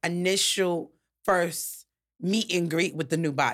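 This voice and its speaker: Recorded very cleanly against a silent background, a woman uses an ordinary speaking voice at a medium pitch and a fairly slow pace. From New York. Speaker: podcast host. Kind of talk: interview.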